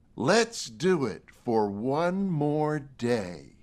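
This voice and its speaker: Using a put-on character voice, a man speaks fairly high for a man, with very wide pitch swings. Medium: read story.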